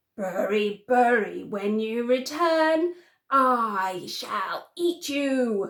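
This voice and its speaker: A woman's put-on character voice, high-pitched and growling, at a very slow pace. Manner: growling, threatening.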